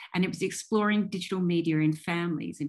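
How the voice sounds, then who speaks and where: This woman has an Australian accent and a fairly low voice with fairly even intonation. The background is quiet. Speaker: professor and digital ethnographer. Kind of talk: keynote lecture. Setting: video call. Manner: formal.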